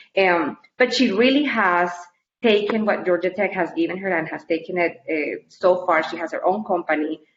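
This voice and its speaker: A woman with a Colombian accent talks at a moderate pace and medium pitch. Her pitch varies in an ordinary way. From Colombia (Cali). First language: Spanish. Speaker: university staff member. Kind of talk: interview.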